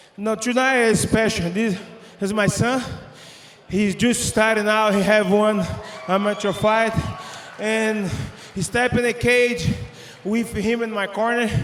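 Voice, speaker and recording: A man's high-pitched voice at a fairly slow pace, with long, frequent pauses and noticeable background noise. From Brazil. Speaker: MMA fighter. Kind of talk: post-fight interview. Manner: halting.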